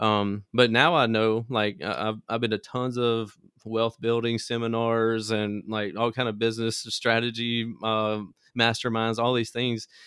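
Speaking in an American accent, a man keeps a fairly slow pace and medium pitch. His intonation is monotone and flat. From US South, Mississippi Delta (Greenville). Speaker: small business owner, car audio entrepreneur. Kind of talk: interview, casual storytelling.

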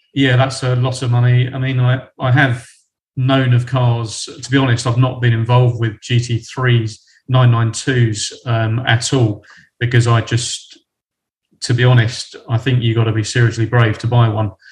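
Somewhat breathy, a man talks at a moderate pace with medium pitch. His intonation is monotone and flat. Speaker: car market analyst. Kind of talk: casual chat. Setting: video call.

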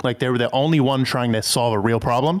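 A man's unremarkable speaking voice, medium in pitch, with ordinary pitch variation and a fairly quick pace. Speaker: crypto content creator. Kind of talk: casual podcast interview.

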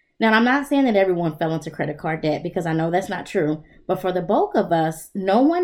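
The recording is very clean with a silent background. A woman with medium pitch and lively intonation has an unremarkable speaking voice. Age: 30s. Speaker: therapist and podcast host. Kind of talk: solo self-help monologue.

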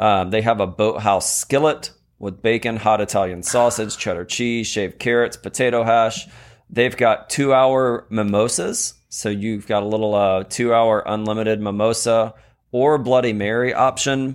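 This man has an unremarkable speaking voice at medium pitch, with fairly even intonation at a moderate pace. The recording is very clean, with a silent background. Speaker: podcast co-host. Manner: joking, interrupts playfully.

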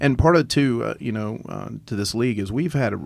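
At a fairly quick pace, a man with a plain, everyday voice uses lively intonation. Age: 50s. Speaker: college baseball coach and business owner. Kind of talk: casual chat.

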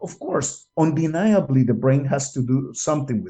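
This man's voice is somewhat breathy. It sits at a fairly high pitch. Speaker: scientist interviewee. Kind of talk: interview explanation. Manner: hesitant, filler-heavy.

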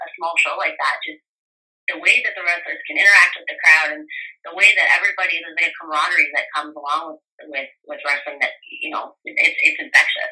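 A woman is talking. Her pace is fairly quick. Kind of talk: casual interview.

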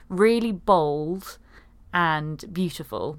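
A woman with an English accent speaks at a fairly low pitch with lively intonation in a very clean recording with a silent background. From UK. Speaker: podcast host. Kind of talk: casual chat.

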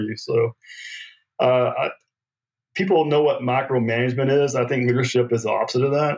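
A man talks at a fairly quick pace with an American accent. His pitch is medium. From rural US farming community. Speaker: navy veteran and company executive. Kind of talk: interview. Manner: halting, repeats words.

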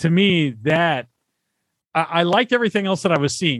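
Lively intonation runs through this man's delivery. He has an unremarkable speaking voice and keeps a moderate pace. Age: 50s. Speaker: podcast guest. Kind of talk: casual chat.

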